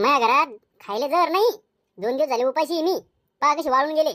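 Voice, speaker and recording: Using a cartoonish character voice, a woman speaks high and at a moderate pace with lively intonation. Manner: sly, brazen.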